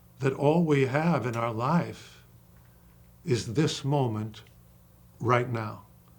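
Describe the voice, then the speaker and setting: A man at medium pitch with ordinary pitch variation, somewhat breathy, at a very slow pace with long, frequent pauses, in audible room echo. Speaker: acting coach. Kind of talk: casual chat. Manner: animated.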